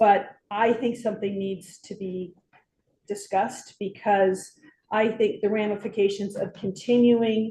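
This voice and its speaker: Somewhat breathy and dark, mellow in tone, a woman speaks at medium pitch in a monotone, flat intonation. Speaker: city council member. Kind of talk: council meeting discussion. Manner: slow, careful speaking; hesitant, many fillers.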